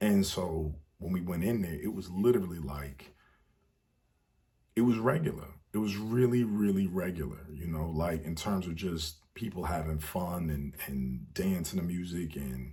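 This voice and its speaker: In a room with audible echo, a man with an American accent speaks at a moderate pace in a very deep, low voice that is relaxed, somewhat breathy, dark and mellow, with ordinary pitch variation. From United States. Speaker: travel storyteller vlogger. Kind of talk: casual storytelling monologue. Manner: relaxed, with many fillers.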